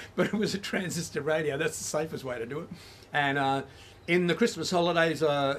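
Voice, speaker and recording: Speaking in an Australian accent, a man with a fairly high pitch and ordinary pitch variation talks at a fairly quick pace. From Australia, Melbourne. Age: 70s. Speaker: musician and community radio presenter. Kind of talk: interview. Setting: at home.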